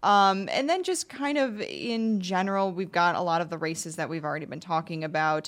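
An ordinary speaking voice moves along with hardly any pauses and lively intonation. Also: woman, medium pitch for a woman. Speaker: political reporter. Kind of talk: radio interview.

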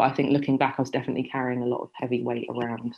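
A woman speaks with a London accent and a very deep, low pitch. Her intonation stays fairly even. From London suburb, England. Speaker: journalist and author. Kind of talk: interview.

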